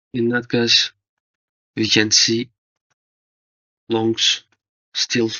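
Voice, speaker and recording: A man with a non-native accent, medium in pitch, in monotone, flat intonation. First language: not English. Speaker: forex trading analyst. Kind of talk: tutorial. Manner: halting.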